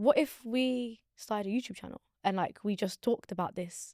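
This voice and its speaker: In a London accent, a woman speaks with lively intonation in a dry, close sound with no echo. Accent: London English, multicultural London. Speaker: podcaster. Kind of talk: casual chat. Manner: animated.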